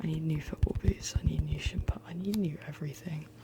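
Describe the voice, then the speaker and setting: Someone soft-spoken talks at a moderate pace over noticeable background noise. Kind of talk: ASMR ramble. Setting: studio.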